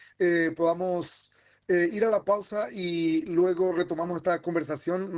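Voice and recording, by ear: With fairly even intonation, a man speaks at a high pitch.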